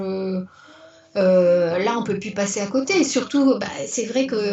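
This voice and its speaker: Amid noticeable background noise and audible room echo, a woman talks fairly slowly at a medium pitch. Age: 60s. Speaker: retired teacher turned business owner. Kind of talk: interview. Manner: animated; halting, many repetitions and fillers.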